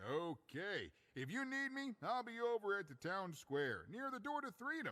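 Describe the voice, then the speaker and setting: Using a put-on character voice, a man speaks at a moderate pace in a high pitch with very wide pitch swings. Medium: video game. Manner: chatty, good-humored.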